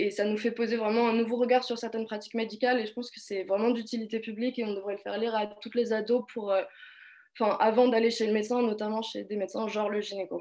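Speaking very fast, a woman holds a fairly high pitch in a flat monotone. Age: 20s. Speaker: political science student. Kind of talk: casual discussion.

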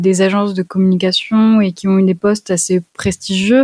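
Dry and close with no echo, a woman's voice sits at medium pitch. Her tone is dark and mellow, and her intonation is monotone and flat. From France, Lyon region. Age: 20s. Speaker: traveler and freelance photographer. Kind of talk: interview conversation. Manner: hesitant, many repeated words.

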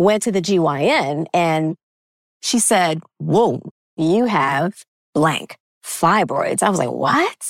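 At a very slow pace, a woman speaks with very even loudness in a dry, close sound with no echo. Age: 50s. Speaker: nutritionist and fertility coach. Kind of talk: podcast interview.

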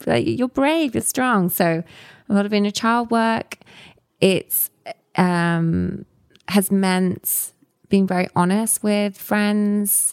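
A woman with a medium-pitched voice talks at a very slow pace, leaving long, frequent pauses, with very even loudness, ordinary pitch variation and a dry, close sound with no echo. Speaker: storytelling company founder. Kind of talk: casual interview chat.

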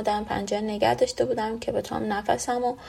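At a moderate pace, a woman talks with fairly even intonation in a plain, everyday voice. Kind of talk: testimony.

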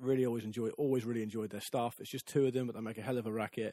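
With an English accent, a man speaks at a medium pitch in a dark, mellow tone with fairly even intonation, the sound dry and close with no echo. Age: 30s. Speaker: football podcast host. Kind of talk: casual interview. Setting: studio.

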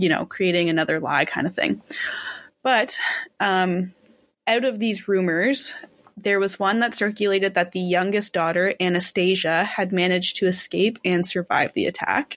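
A woman speaks in an ordinary speaking voice at medium pitch and a moderate pace. Her pitch variation is ordinary and her loudness very even. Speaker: podcast co-host telling the case history. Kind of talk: casual storytelling.

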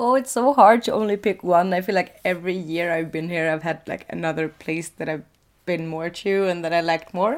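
Fairly low in pitch, a woman talks at a fairly quick pace with a Swedish accent. Her pitch variation is ordinary. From Sweden, coastal city. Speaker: podcast co-host. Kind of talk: casual chat. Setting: sitting in a loft bed.

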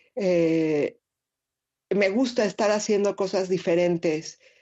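A normal speaking voice moves at a fairly slow pace. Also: woman. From Mexico City. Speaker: street photographer. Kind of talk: interview.

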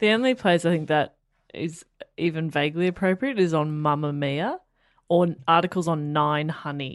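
With an Australian accent, a woman speaks at a moderate pace. Her pitch is fairly low with ordinary variation. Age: 20s. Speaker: radio presenter and comedian. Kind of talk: casual chat.

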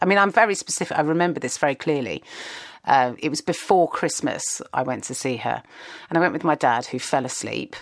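With a southern English accent, a woman uses a very deep, low voice with vocal fry and lively intonation. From southern England, Kingston near London. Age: 40s. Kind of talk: casual chat. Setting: video call.

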